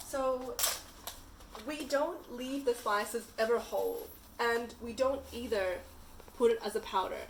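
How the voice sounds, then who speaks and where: A woman with a Punjabi accent speaks at a high pitch with ordinary pitch variation amid noticeable background noise. Her pace is fairly slow, with long, frequent pauses. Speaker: chai company founder. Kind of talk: tutorial.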